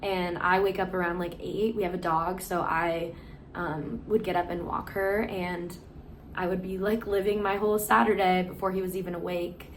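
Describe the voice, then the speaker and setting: At a moderate pace and with fairly even intonation, the speaker comes through noticeable background noise and audible room echo. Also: woman, medium pitch for a woman. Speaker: personal vlogger sharing abuse experience. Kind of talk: testimony. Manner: casual with frequent fillers.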